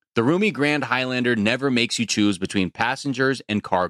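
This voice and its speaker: A man talks in a normal speaking voice at medium pitch with lively intonation, the sound dry and close with no echo. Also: very clean recording, silent background. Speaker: podcast host. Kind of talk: casual sports podcast chat.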